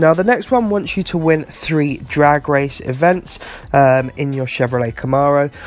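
A British accent with music in the background. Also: man. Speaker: gaming YouTuber. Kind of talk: tutorial. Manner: casual, fillers.

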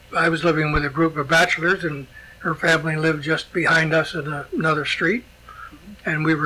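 Against noticeable background noise, a man with a fairly high pitch speaks at a moderate pace and with fairly even intonation. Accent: American. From US Northeast (born Schenectady, New York). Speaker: retired former mayor and local historian. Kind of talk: oral history interview. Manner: halting, many fillers.

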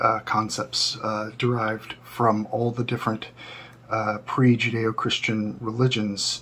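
Speaking at a fairly slow pace, a man talks. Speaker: occult teacher. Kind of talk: lecture. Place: home room.

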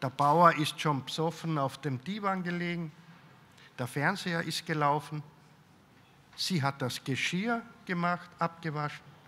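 A man with a fairly high pitch, very slow pace, ordinary pitch variation and long, frequent pauses. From Austria, Carinthia. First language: German (speaking French). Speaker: writer; author on a panel. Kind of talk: interview answers at a public talk. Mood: calm, reflective storytelling. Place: hall. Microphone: handheld.

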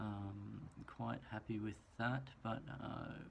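Over light background noise, a man with an Australian accent talks at a fairly low pitch with ordinary pitch variation. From country Queensland, Australia. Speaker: student and hotel manager. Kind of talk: personal introduction video. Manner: hesitant, with many fillers. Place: home room. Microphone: phone near.

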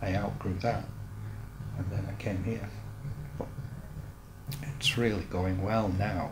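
Noticeable background noise around a man, fairly slow pace. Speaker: painter. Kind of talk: interview answer. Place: workshop.

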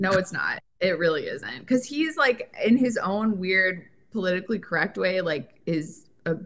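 A normal speaking voice with an American accent moves at a moderate pace. The intonation is lively. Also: woman, medium pitch for a woman. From Connecticut. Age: 30s. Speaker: guest co-host. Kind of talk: casual chat.

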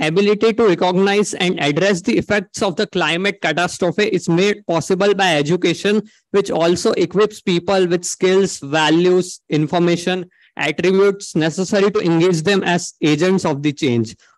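Against a quiet background, a man with an Indian accent speaks at a high pitch and moderate pace, his loudness very even and his pitch varying in an ordinary way, in a dry sound with no echo. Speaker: engineering student; conference presenter. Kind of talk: conference presentation. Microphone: video call.

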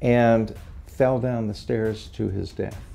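Music plays in the background. Over it, a man speaks. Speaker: retired history professor. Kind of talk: interview answer.

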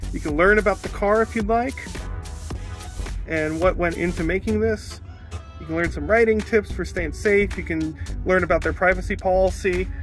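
Clear music plays in the background while a man talks at a moderate pace, with long, frequent pauses. The sound is dry, with no echo. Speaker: passenger vlogger. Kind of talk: casual vlog chat. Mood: enthusiastic, upbeat. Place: car. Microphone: phone near.

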